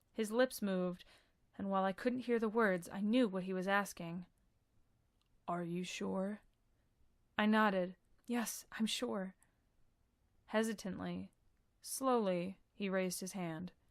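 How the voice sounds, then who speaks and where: On a very clean recording with a silent background, a woman speaks at medium pitch. She goes fairly slowly, with long, frequent pauses. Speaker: audiobook narrator. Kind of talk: audiobook narration, first-person story reading.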